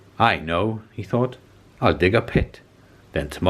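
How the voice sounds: A natural reading voice is heard here. Its pitch varies in an ordinary way.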